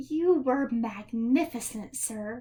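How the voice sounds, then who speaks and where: A woman does a put-on character voice. Her pitch sits high. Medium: read story. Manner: rhythmic.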